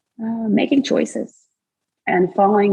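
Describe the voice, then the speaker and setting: Speaking with a Russian accent, a woman has a fairly high voice with vocal fry. Her tone is dark and mellow. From Russia, Kazan. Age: 30s. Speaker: former college tennis player. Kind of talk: interview.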